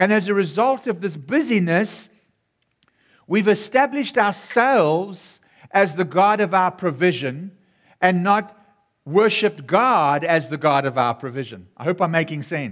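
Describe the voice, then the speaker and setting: Speaking fairly slowly with a South African accent, a man uses a high pitch and very wide pitch swings. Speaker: pastor. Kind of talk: sermon. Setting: church. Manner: warm and animated.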